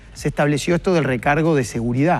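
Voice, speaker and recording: The man talks at a very fast pace. His pitch is fairly high, with ordinary pitch variation. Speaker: economist, workers' representative. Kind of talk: TV interview. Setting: TV studio. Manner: explanatory, measured.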